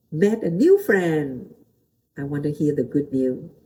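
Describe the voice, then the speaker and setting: In a Vietnamese accent, a woman speaks at a fairly slow pace with lively intonation. Her tone is dark and mellow, and somewhat breathy. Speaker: pastor. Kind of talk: motivational talk. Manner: halting.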